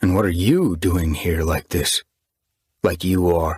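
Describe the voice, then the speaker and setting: A man does a put-on character voice, growling at a very deep, low pitch with monotone, flat intonation, very even loudness and a fairly slow pace, in a dry, close sound with no echo. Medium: read story.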